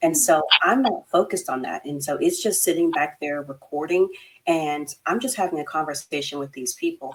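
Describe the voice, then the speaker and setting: At a moderate pace, a woman speaks with a slight Texas accent. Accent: slight Texas twang. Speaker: therapist, podcast co-host. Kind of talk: casual chat. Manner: chatty, many fillers.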